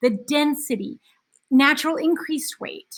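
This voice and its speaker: Here a woman is speaking. Her tone is animated. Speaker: teacher. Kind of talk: lecture.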